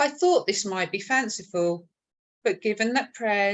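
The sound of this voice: Quiet background behind an unforced reading voice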